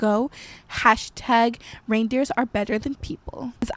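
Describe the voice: Fairly even intonation in plain reading aloud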